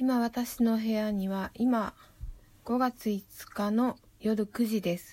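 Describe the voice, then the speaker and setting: A woman speaks very slowly in a dark, mellow, somewhat breathy tone with monotone, flat intonation, long, frequent pauses and big swings in loudness. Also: fairly high pitch for a woman. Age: 30s. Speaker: poet. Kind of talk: casual monologue. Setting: at home in her room. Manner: relaxed, rambling.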